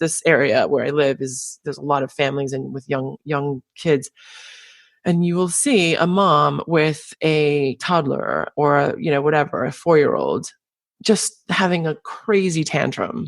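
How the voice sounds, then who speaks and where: A woman with an American accent speaks at a fairly slow pace. Her pitch is very deep and low, with ordinary variation. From New York, US. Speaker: podcast host, chiropractor. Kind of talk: casual interview chat. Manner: halting, many repetitions and fillers.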